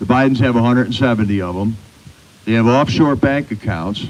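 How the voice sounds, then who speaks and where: With ordinary pitch variation and a medium pitch, the man uses an ordinary speaking voice. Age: 60s. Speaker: rally speaker. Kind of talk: public speech.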